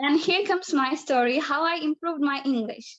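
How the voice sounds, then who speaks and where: A woman with a high pitch speaks with a non-native accent and ordinary pitch variation. The sound is dry and close, with no echo. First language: not English. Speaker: debate participant. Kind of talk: debate speech. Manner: halting.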